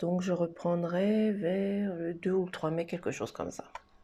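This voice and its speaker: A soft-spoken woman's dark, mellow voice, fairly low in pitch, with fairly even intonation at a very slow pace. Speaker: tarot card reader. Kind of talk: card reading for viewers.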